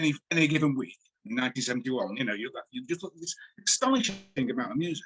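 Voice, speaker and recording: A man with a Manchester accent, a fairly high pitch and very wide pitch swings. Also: dry, close sound with no echo. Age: 60s. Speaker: music writer and journalist. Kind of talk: interview.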